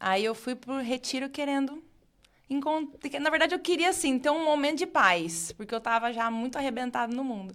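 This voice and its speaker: A woman with a high pitch speaks at a moderate pace with lively intonation, in a very clean recording with a silent background. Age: 30s. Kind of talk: casual podcast interview, faith testimony.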